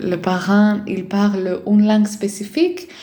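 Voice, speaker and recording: A woman with a Greek accent speaks at a very slow pace and medium pitch, with audible room echo and noticeable background noise. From Greece. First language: Greek (speaking French). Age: 20s. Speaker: life and parenting coach. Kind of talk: casual vlog monologue. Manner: hesitant, many fillers.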